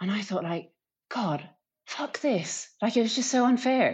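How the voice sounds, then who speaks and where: A woman with an Irish accent speaks at a moderate pace with lively intonation against a quiet background. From Ireland. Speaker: professional cyclist. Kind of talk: interview.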